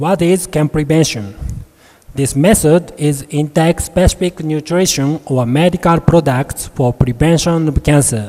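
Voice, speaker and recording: A man's fairly high voice with a Japanese accent and ordinary pitch variation, against noticeable background noise. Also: fairly slow pace. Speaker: medical researcher, professor. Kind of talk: conference presentation. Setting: conference hall. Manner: formal.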